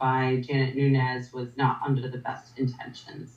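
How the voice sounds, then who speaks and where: A woman with a Rhode Island accent. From Rhode Island, US. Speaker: paranormal investigator. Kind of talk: casual interview chat.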